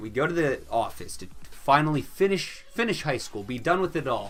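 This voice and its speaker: Music plays in the background. A man with a Midwestern accent speaks at a fairly quick pace. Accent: Midwestern, sometimes puts on another. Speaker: YouTuber. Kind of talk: storytime vlog. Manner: casual, chatty.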